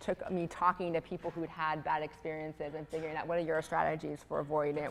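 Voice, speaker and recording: A woman talks very fast in a very deep, low voice. Her intonation is flat and monotone. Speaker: professor of religion. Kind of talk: panel conversation. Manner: many filler ums.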